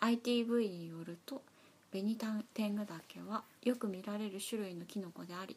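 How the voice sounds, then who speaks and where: Here a woman speaks at a moderate pace in a medium pitch. Her voice is somewhat breathy, with ordinary pitch variation. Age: 40s. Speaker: podcast co-host. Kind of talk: casual chat; news reading.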